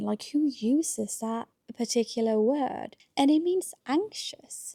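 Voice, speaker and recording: Dry and close with no echo, the sound carries a woman's dark, mellow tone. Her intonation is lively. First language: Norwegian. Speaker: book vlogger. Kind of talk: casual reading vlog. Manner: animated.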